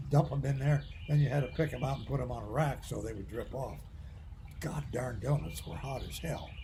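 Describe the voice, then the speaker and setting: A man talks at a fairly quick pace, his loudness swinging widely, with audible room echo around him. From US Midwest. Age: 80s+. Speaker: retired medical professor. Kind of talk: casual chat.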